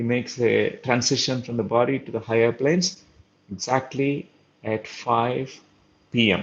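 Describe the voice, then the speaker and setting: A man with a Telugu accent speaks at medium pitch. He leaves long, frequent pauses. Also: ordinary pitch variation, moderate pace. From India. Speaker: spiritual teacher / doctor. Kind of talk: lecture. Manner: halting, with filler sounds.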